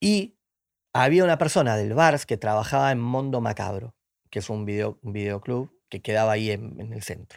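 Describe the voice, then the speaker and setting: A man's voice with lively intonation in a Rioplatense accent, on a very clean recording with a silent background. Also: medium pitch for a man, moderate pace, big swings in loudness. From Argentina, Buenos Aires. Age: 40s. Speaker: film director. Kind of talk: interview.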